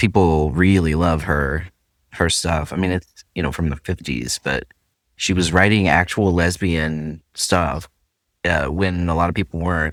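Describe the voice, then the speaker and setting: In a very clean recording with a silent background, a man speaks with a very deep, low pitch and vocal fry. His pace is fairly slow, his pitch variation ordinary, and the sound dry and close with no echo. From Central Appalachia. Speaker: podcast host. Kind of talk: casual podcast conversation.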